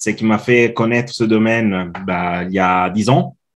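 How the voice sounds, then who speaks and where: A man with an Italian accent speaks at medium pitch and a fairly slow pace. The background is quiet. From Italy. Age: 40s. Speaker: customer experience consultant. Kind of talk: podcast interview. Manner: halting, many fillers.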